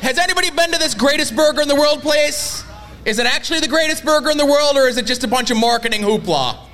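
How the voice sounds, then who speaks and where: Over noticeable background noise, a man with an extremely high pitch rushes at a very fast pace with ordinary pitch variation. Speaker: wrestling podcast host. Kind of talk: casual chat, comedic banter.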